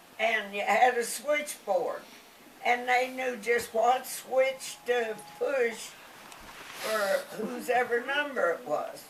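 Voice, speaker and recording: Speaking at a very slow pace, a woman with a high-pitched voice is heard over noticeable background noise. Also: ordinary pitch variation. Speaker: grandmother. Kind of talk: casual family conversation, reminiscing.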